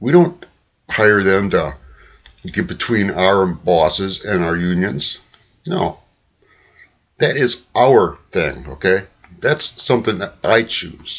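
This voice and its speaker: Speaking very slowly with long, frequent pauses, a man uses a fairly low pitch and lively intonation. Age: 60s. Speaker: political vlogger. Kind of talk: opinion monologue. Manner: animated.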